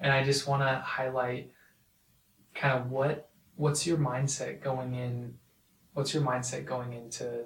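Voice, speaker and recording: Monotone and flat, a man speaks at a fairly slow pace in a somewhat breathy, medium-pitched voice. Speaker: podcast host. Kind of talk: interview.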